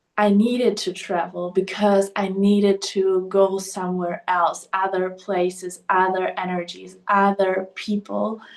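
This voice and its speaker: A woman's medium-pitched, monotone voice with flat intonation at a fairly slow pace. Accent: German. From Germany. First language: German. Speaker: podcast host. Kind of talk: personal monologue. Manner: hesitant, filler-heavy.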